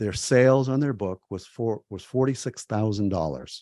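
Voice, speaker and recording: A man speaks in a fairly low pitch with a dark, mellow tone. The sound is dry and close with no echo, and the background is quiet. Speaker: publishing consultant. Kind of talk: webinar presentation. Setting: webinar. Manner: fast.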